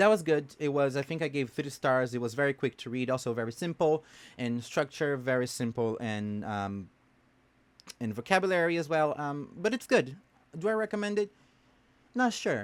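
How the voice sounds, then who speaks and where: In a Portuguese accent, a man speaks at a moderate pace with very wide pitch swings, captured in a very clean recording with a silent background. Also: fairly high pitch for a man. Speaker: book vlogger. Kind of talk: casual book review monologue. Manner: hesitant with many fillers.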